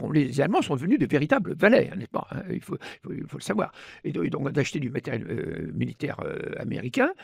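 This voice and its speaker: Speaking at a very fast pace, a man's voice swings widely in loudness. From France. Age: 80s+. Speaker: economist and author. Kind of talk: interview. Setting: studio. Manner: halting, many repetitions and hesitations; animated.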